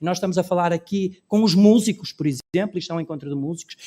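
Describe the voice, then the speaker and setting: A man's voice in dry, close sound with no echo, on a very clean recording with a silent background. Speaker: cultural policy expert on a panel. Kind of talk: conference panel talk. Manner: fast.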